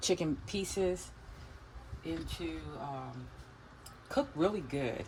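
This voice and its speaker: Noticeable background noise runs under the recording. A woman speaks at a very deep, low pitch. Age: old. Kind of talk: casual cooking vlog narration.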